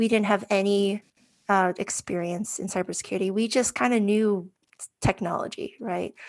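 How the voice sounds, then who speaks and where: A woman speaks at medium pitch with fairly even intonation. She has a normal speaking voice. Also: moderate pace, very clean recording, silent background. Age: 40s. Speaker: cybersecurity professional. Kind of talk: interview.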